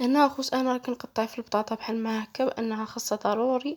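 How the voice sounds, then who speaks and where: In a Moroccan accent, a woman with a fairly high pitch and tired tone speaks at a moderate pace with fairly even intonation, on a very clean recording with a silent background. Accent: Moroccan Darija. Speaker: cooking channel host. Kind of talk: cooking tutorial. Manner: tired, low-energy.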